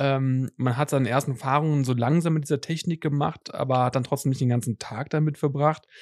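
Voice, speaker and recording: With an unremarkable speaking voice, a man talks at a fairly quick pace and fairly high pitch, with hardly any pauses, very even loudness and fairly even intonation, the sound dry and close with no echo over a quiet background. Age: 30s. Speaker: tech podcast host. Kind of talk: casual chat.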